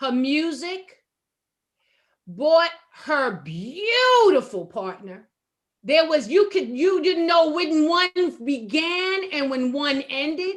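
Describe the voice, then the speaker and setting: A loud, high-pitched woman's voice with very wide pitch swings, a very slow pace and long, frequent pauses. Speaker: talk radio host. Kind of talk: casual panel discussion. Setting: internet talk radio.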